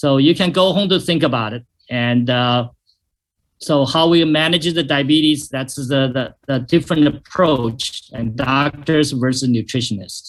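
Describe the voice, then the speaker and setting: This man talks at a fairly slow pace, his fairly high pitch moving with ordinary variation. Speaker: doctor giving a health presentation. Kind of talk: webinar presentation. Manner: hesitant, many fillers.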